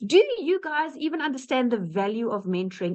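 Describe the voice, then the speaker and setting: This woman has a high voice with very wide pitch swings and an animated tone. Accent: South African. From South Africa. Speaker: webinar presenter sharing business success story. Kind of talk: webinar testimony. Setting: online webinar.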